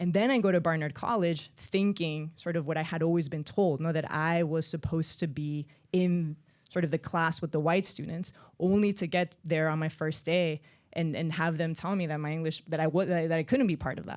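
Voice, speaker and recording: A woman with a strong Spanish accent speaks fairly quickly at a fairly low pitch, with fairly even intonation. The recording is very clean, with a silent background. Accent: thick Spanish (Spain). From Spain (Madrid), raised partly in Miami. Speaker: author and journalist. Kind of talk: author talk with reading aloud. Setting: stage with audience.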